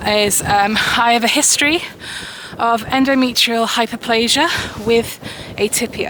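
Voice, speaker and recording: With noticeable background noise, a woman talks at a fairly slow pace, her high pitch showing ordinary variation. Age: 30s. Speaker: vlogger. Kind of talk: casual vlog monologue. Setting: outdoors, walking.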